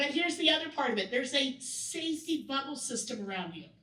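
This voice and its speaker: A woman talks at a fairly quick pace in a raised, projected voice with a bright, sharp tone. Her pitch is high, and audible room echo surrounds it. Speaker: workshop presenter. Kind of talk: training workshop talk. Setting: event room with audience. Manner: loud.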